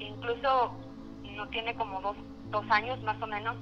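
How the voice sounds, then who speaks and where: A woman is speaking here. She goes at a fairly slow pace. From Mexico City. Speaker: caller. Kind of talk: personal story. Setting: phone call.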